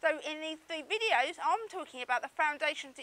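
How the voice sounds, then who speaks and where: Projected and raised, a woman's extremely high voice moves at a fairly quick pace with lively intonation in a dry, close sound with no echo. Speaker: business coach. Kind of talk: online marketing video talk to camera.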